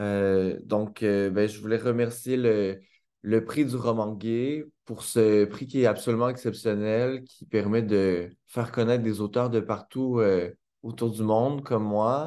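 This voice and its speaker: In a Quebec accent, a man of medium pitch speaks at a very slow pace with a dark, mellow tone and fairly even intonation. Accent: Québécois French. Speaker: author. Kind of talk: acceptance speech. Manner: hesitant, many fillers. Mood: warm, grateful, smiling. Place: home room. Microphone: webcam.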